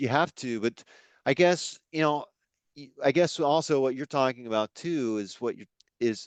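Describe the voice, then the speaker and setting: The delivery moves at a moderate pace, broken by long, frequent pauses, with big swings in loudness and ordinary pitch variation. The sound is dry and close with no echo, over a quiet background. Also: man, fairly high pitch for a man. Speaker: podcast host, interviewer. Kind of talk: interview question, casual conversation.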